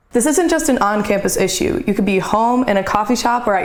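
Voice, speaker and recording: A woman talking at a fairly quick clip, her pitch fairly high, with noticeable background noise behind her. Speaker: student TV reporter. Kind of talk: TV news report.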